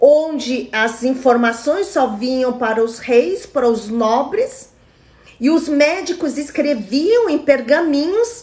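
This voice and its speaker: A woman's high voice at a very slow pace, with very wide pitch swings. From Brazil, Chinese immigrant family. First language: Mandarin (speaking Portuguese). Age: 40s. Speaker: traditional Chinese medicine therapist. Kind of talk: live stream talk with viewer comments.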